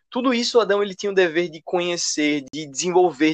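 The speaker is a man with a high pitch and a fairly quick pace. His pitch variation is ordinary. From Brazil, Recife (Pernambuco). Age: 20s. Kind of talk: casual chat, explanatory.

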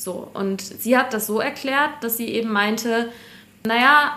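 This woman's voice sits at a fairly high pitch with a bright, sharp tone. Her intonation stays fairly even. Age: 20s. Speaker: business journalist. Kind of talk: casual interview chat.

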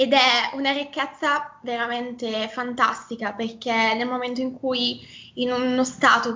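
In a Milanese accent, a woman talks at a moderate pace with a high pitch and monotone, flat intonation. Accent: Milanese, open e vowels. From northern Italy, near Milan (Lombardy). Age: 20s. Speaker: Italian teacher. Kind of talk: casual interview.

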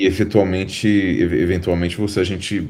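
A man's very deep, low voice with a dark, mellow tone at a moderate pace. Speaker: visual effects artist. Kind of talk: interview.

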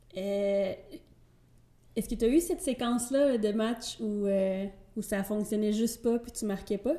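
Speaking at a fairly slow pace with long, frequent pauses, a woman has a dark, mellow tone. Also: fairly high pitch for a woman, ordinary pitch variation. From Quebec, Trois-Rivières. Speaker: podcast host. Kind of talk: interview.

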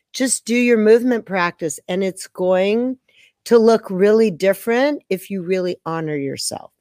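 A woman with an unremarkable speaking voice talks fairly slowly at medium pitch with ordinary variation, recorded dry and close with no echo. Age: 60s. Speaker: movement teacher and creator of a dance system. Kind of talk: interview answers, casual conversation. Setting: online video call.

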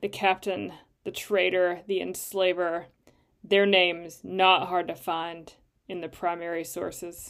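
In a fairly low pitch, a woman speaks slowly with monotone, flat intonation. The recording is very clean, with a silent background. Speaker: poet. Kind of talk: poem reading. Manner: measured, solemn; deliberate, halting with pauses between short fragments.

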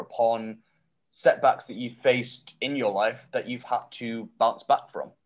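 A man with a Mancunian accent speaks at a fairly slow pace. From Manchester, northern England. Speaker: podcast host. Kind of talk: casual interview.

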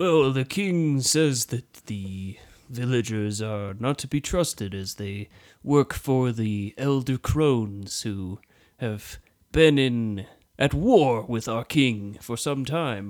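A man's put-on character voice, medium in pitch and very slow in pace. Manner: nervous, earnest.

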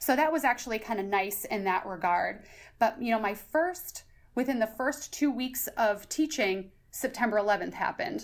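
A woman's fairly high, ordinary speaking voice with an American accent, lively intonation and a moderate pace. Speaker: high school social studies teacher. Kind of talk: casual interview. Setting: podcast interview.

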